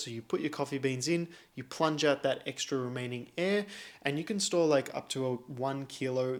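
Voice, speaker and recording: In a very clean recording with a silent background, a man with an Australian accent talks at a fairly quick pace, his pitch fairly high with ordinary variation. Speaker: coffee youtuber. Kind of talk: casual chat. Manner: fast.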